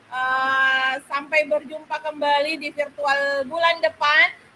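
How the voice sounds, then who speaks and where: Her voice raised and projected, a woman speaks at a high pitch with a bright, sharp tone. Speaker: teacher community speaker. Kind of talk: online workshop presentation. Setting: online video meeting. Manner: loud, raising voice; hesitant, many fillers.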